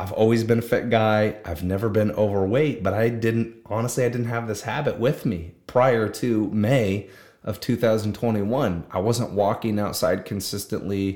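A plain, everyday voice from a man, fairly low in pitch, with fairly even intonation, a moderate pace and hardly any pauses. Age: 20s. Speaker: solo podcaster. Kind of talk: casual monologue. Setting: video recording.

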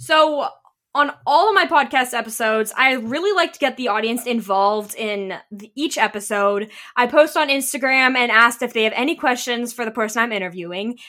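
A woman speaks with a high pitch, a bright, sharp tone and lively intonation at a fairly quick pace. Her delivery is upbeat and enthusiastic, and the recording is very clean with a silent background. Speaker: podcast host. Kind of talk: casual interview chat. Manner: upbeat, enthusiastic.

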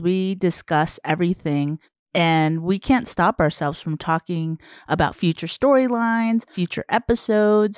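A woman's fairly low voice with an American accent, at a moderate pace with ordinary pitch variation, in a dry, close sound with no echo on a very clean recording against a silent background. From Southern Arizona, US. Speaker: podcast co-host. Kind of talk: casual chat.

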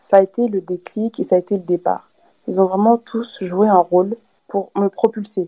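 A woman with a dark, mellow tone speaks at a moderate pace in a monotone, flat intonation, with a dry, close sound and no echo. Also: medium pitch for a woman. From DR Congo (Kinshasa), then France from age 8-9. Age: 20s. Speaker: student and entrepreneur. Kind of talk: casual interview. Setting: remote call from Kinshasa.

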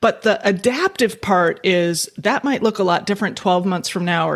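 An unremarkable speaking voice from a woman at medium pitch, American accent, moderate pace and ordinary pitch variation. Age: 50s. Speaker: futurist and economist. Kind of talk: interview.

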